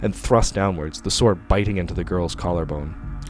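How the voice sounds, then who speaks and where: A man with a very deep, low pitch moves at a fairly quick pace, his pitch varying in an ordinary way amid noticeable background noise. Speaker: audiobook narrator. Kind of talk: horror story narration.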